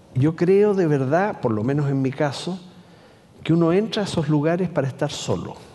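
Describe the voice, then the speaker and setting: Room echo is audible as a man talks at a moderate pace. His pitch is fairly high, with ordinary variation. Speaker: columnist and writer. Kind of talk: public conversation. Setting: stage with audience.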